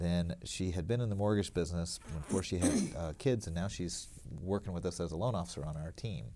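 A man with an American accent and vocal fry talks at a fairly quick pace, his very deep, low pitch moving with lively intonation. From US South, small-town Alabama. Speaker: mortgage loan originator. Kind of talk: radio interview.

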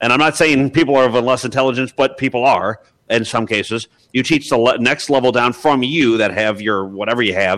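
His pitch is medium and varies in an ordinary way. A man speaks fairly quickly in an ordinary speaking voice. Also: very even loudness. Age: 30s. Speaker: caller. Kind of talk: casual group discussion. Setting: video call.

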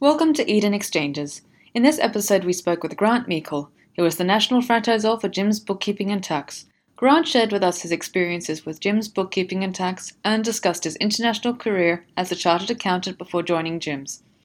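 A woman with a plain, everyday voice speaks at a fairly quick pace in a medium pitch with lively intonation, on a very clean recording with a silent background. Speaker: podcast announcer. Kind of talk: scripted intro and outro.

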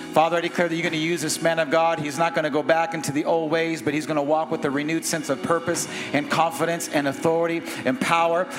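The speech comes at a very fast pace. Noticeable background noise runs underneath it. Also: man, high pitch for a man. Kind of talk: sermon. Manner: animated; fervent.

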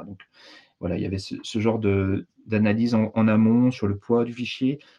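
Speaking at a fairly quick pace, a man has a dark, mellow tone and monotone, flat intonation. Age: 40s. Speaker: digital training consultant. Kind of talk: casual interview. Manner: hesitant, many fillers.

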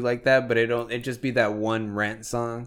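On a very clean recording with a silent background, a man talks at medium pitch and a moderate pace in a monotone, flat intonation. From Mexico. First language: Spanish. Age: 20s. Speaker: podcast host. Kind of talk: casual chat.

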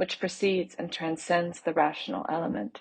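Somewhat breathy and fairly low in pitch, a woman with an American accent talks at a moderate pace with fairly even intonation. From US South, Charleston, South Carolina. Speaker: fiction writer. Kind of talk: reading aloud.

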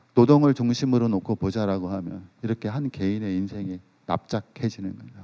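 This man's voice sits fairly low in pitch and shows ordinary pitch variation. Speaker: sociologist. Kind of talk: lecture. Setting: stage with audience.

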